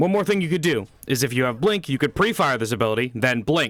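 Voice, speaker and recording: A man with a fairly high voice talks at a very fast pace. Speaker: game guide creator. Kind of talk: gameplay guide narration.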